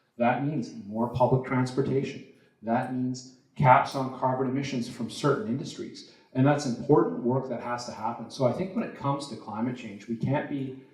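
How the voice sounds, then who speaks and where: A man with a Canadian accent speaks at a moderate pace and a medium pitch. His intonation is fairly even, and audible room echo surrounds the voice. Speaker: politician, provincial legislator. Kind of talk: candidates debate answer. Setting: stage with audience. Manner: loud.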